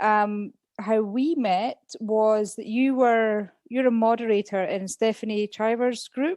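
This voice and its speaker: In a Scottish accent, a woman with a fairly high pitch and a dark, mellow tone speaks very slowly with fairly even intonation, in a dry, close recording with no echo. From Scotland. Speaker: former English teacher, podcast guest. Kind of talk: casual interview chat.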